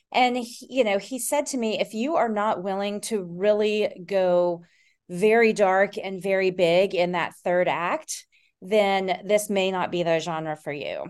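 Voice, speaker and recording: With an American accent, a woman speaks in a normal speaking voice at a medium pitch and a fairly slow pace, with ordinary pitch variation, on a very clean recording with a silent background. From Tennessee and Texas. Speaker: children's book author. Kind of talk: interview.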